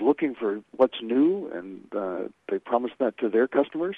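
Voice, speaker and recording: A man speaks at a fairly slow pace. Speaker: trade association marketing executive. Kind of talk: radio interview. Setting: phone call. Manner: hesitant, filler-heavy.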